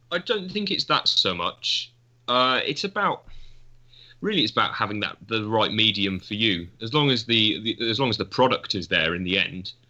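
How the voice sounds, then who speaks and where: This man has a plain, everyday voice at a medium pitch. He talks at a moderate pace with lively intonation. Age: young. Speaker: photography student. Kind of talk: casual chat.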